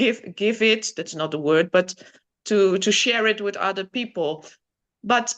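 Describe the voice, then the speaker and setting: A woman with a Dutch accent, medium pitch, ordinary pitch variation, and a fairly slow pace. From Netherlands. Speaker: guest sharing spiritual healing experiences. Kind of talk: casual interview testimony. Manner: halting, searching for words.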